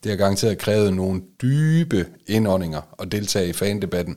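In a very clean recording with a silent background, a man speaks in a normal speaking voice, pitched fairly low, with ordinary pitch variation at a moderate pace. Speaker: football club podcast host. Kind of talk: interview. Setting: studio.

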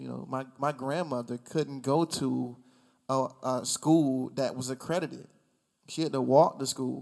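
On a very clean recording with a silent background, a man with an American accent and an ordinary speaking voice talks at medium pitch, at a fairly slow pace, with fairly even intonation. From rural South Carolina. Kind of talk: casual chat.

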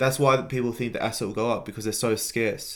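A man with an Australian accent delivers his words at a fairly quick pace. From Australia, Melbourne. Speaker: entrepreneur. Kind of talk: interview.

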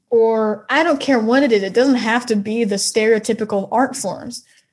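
A woman speaks fairly slowly with a fairly high pitch and fairly even intonation. Hers is an unremarkable speaking voice. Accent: American. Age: 20s. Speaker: singer-songwriter. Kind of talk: casual interview.

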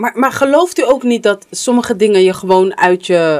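The speech moves at a moderate pace. It's a very clean recording with a silent background. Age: 40s. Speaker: podcast host. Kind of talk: casual chat.

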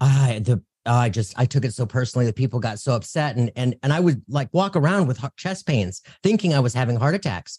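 A man talks at a fairly quick pace in an energetic tone, medium pitch, lively intonation and a somewhat breathy voice, with a dry, close sound and no echo. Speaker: psychic medium and podcaster. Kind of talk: casual interview chat.

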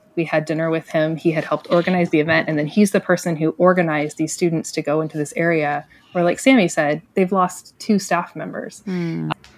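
Speech comes at a fairly quick pace with hardly any pauses and fairly even intonation. It is an unremarkable speaking voice. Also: woman, fairly low pitch for a woman. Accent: American. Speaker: ministry storyteller. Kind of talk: casual interview.

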